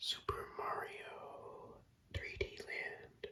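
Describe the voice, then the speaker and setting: A man whispers over noticeable background noise. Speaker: ASMR creator. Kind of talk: ASMR whispered talk about video games. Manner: casual, nostalgic, profane storytelling.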